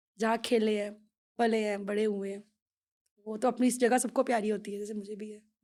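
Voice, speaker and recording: A woman speaks at a moderate pace in a fairly high pitch with a dark, mellow tone and monotone, flat intonation. The recording is very clean, with a silent background. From Jammu, India (village, Dogra region). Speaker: devotional singer. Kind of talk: podcast interview. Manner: halting.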